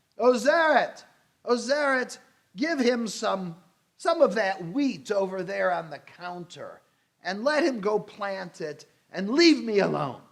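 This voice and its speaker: A man's put-on character voice, shrill and high-pitched, with very wide pitch swings, big swings in loudness and a fairly slow pace. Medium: read story. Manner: curt, impatient.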